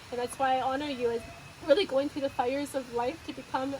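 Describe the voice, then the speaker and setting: Noticeable background noise sits behind a woman with a high pitch. She speaks fairly quickly, with fairly even intonation. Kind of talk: interview host; casual conversational interview, warm and appreciative. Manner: heartfelt, emotional, speaking with sincere appreciation.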